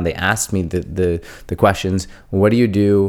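Over a silent background in a very clean recording, a man with a very deep, low pitch speaks at a moderate pace with fairly even intonation. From India. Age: 30s. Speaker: podcast host, accountant. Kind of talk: solo podcast monologue. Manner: casual, frequent fillers.

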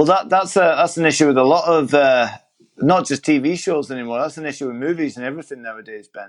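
Here a man with a British accent speaks at a very fast pace and a fairly high pitch. His pitch variation is ordinary, with big swings in loudness. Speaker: podcast host. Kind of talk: casual chat. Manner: chatty.

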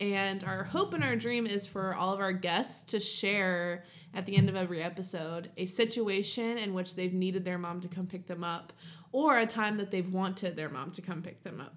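A woman with an American accent uses a normal speaking voice at medium pitch and a moderate pace. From southern Ohio. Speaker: podcast co-host. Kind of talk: casual chat. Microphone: new USB studio mic.

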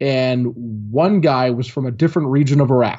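Here is a man with an American accent. His pitch is fairly high, with ordinary pitch variation. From Michigan, small farming town; early childhood in Kuwait. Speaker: former Marine, tactics trainer. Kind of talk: interview. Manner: animated.

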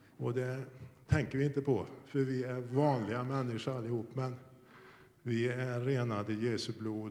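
Here a man speaks at a fairly slow pace with fairly even intonation. Room echo is audible. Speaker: church member. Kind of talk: testimony. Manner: fluent.

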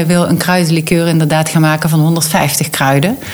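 With a Limburg accent, a woman speaks at a moderate pace in a fairly low voice, with audible room echo and noticeable background noise. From North Limburg, Netherlands. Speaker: convent redevelopment entrepreneur. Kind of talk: interview.

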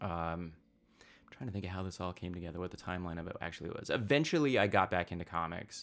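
A man with an American accent and a very deep, low pitch talks at a very fast pace. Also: very clean recording, silent background. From US, rural southeast Idaho. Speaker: comic book writer. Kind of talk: casual interview chat.

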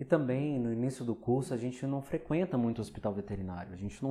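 Speaking at a fairly quick pace, the man has a dark, mellow tone. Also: quiet background. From Rio de Janeiro, Brazil. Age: 30s. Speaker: veterinary clinical pathologist, podcast host. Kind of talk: solo podcast monologue. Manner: conversational.

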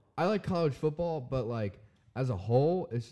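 Against a quiet background, a man with an American accent speaks loudly at a medium pitch in a dark, mellow tone. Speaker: drummer. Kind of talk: casual chat.

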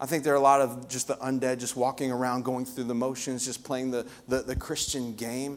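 A man at a medium pitch speaks at a fairly quick pace with hardly any pauses. His tone is animated and passionate. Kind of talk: sermon in full flow, preaching to a live congregation. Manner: animated, passionate, emphatic with repetition.

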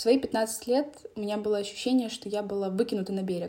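Here is a woman with a normal speaking voice. Her medium-pitched delivery is fairly quick and fairly even in intonation. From Donetsk, eastern Ukraine. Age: young. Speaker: podcast host. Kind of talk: personal monologue.

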